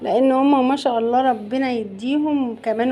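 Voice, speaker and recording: Through noticeable background noise, a woman with an Egyptian accent speaks at a moderate pace in a high voice. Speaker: cooking channel host. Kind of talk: cooking tutorial. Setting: home kitchen. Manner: loud; animated.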